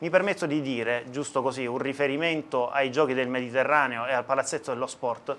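A man's medium-pitched voice at a fairly quick pace, fairly even in intonation and with hardly any pauses. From southern Italy, Apulia (Taranto province); Apulia, Italy. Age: 30s. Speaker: mayoral candidate; candidate. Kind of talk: election debate. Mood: calm, measured, formal. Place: studio. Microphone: lapel.

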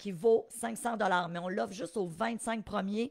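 Delivered with a Quebec accent, the voice sounds animated and has ordinary pitch variation. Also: woman. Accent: Québécois French. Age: 50s. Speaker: real estate investing coach. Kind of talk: live webinar teaching. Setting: live stream.

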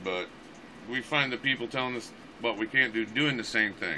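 Light background noise sits behind a man talking at a fairly quick pace. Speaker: online preacher host. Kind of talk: mock sermon monologue. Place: home room. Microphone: phone near.

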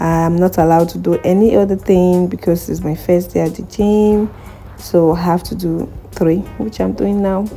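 Over music in the background, a woman talks in a fairly low pitch with fairly even intonation. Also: moderate pace. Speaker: vlogger. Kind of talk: casual vlog chat. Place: gym. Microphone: phone near.

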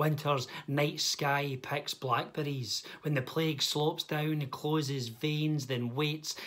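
A man speaks very slowly in a fairly high pitch, his intonation flat and monotone. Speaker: poet. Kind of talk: poetry reading. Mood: dark, measured delivery. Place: home room. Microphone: phone near.

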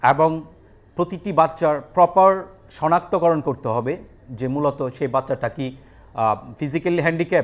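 A man's voice sits high in pitch, with ordinary variation. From rural Bangladesh. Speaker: special school principal. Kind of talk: interview. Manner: halting.

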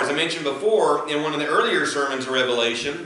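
A man speaks at a fairly quick pace. Room echo can be heard around him. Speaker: pastor. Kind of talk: sermon. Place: church. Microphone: camera far.

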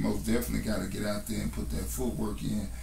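A man talks with an American accent while noticeable background noise carries on behind him. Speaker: rapper. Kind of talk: interview answer. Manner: casual, laid-back.

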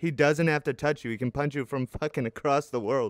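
A man talks at a moderate pace with ordinary pitch variation. The sound is dry with no echo, against a quiet background. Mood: joking, laughing argument.

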